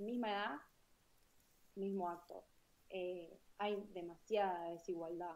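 Speaking at a very slow pace, a woman with a medium pitch uses fairly even intonation and leaves long, frequent pauses. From Argentina, small town. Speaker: podcast co-host. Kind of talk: live-streamed panel discussion.

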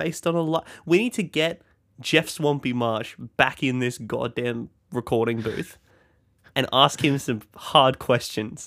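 A man with an Australian accent speaks at a medium pitch and a fairly slow pace. His pitch variation is ordinary, on a very clean recording with a silent background. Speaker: podcast co-host. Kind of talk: casual chat.

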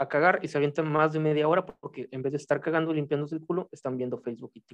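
Fairly high-pitched and with fairly even intonation, a man talks at a very fast pace. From Mexico. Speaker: writer. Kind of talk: casual chat.

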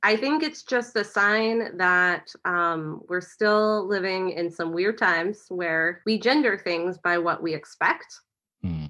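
A woman with an American accent speaks very slowly at a medium pitch, her pitch varying in an ordinary way. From Kansas City. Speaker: podcast co-host. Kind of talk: casual chat.

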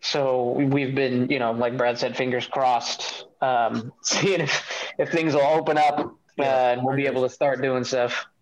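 A man speaks in an American accent at medium pitch and a moderate pace, with hardly any pauses. His intonation is monotone and flat, and his loudness stays very even. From Chicago area. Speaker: metal band vocalist and guitarist. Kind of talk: casual interview. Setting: video call.

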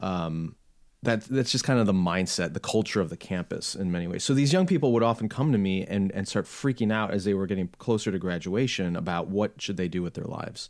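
A plain, everyday voice belongs to a man with an American accent and a fairly low pitch. He talks at a fairly quick pace with ordinary pitch variation. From US Midwest, Chicago suburbs. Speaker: podcast host and author on theology. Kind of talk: interview conversation. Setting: home office, remote call.

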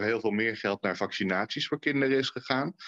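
At a very fast pace, a man speaks with ordinary pitch variation in a dry, close sound with no echo. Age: 40s. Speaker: former member of parliament, children's rights consultant. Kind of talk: podcast interview.

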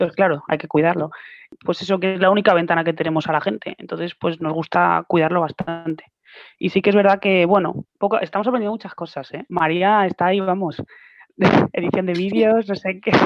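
A plain, everyday voice from a woman, fairly low in pitch, with ordinary pitch variation and a fairly quick pace. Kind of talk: interview.

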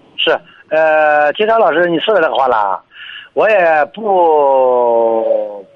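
A man speaks at a very slow pace with very even loudness, his fairly high pitch swinging very widely. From Jinan, Shandong. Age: 40s. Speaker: taxi driver. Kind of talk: call-in advice chat. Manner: halting, many fillers.

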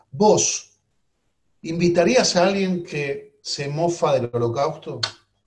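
A man speaks at a fairly slow pace in a plain, everyday voice. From Argentina. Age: 50s. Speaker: politician. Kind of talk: interview.

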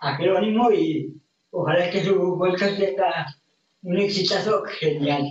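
Intonation stays fairly even while the pace remains very slow. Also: man. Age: 20s. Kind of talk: casual interview chat.

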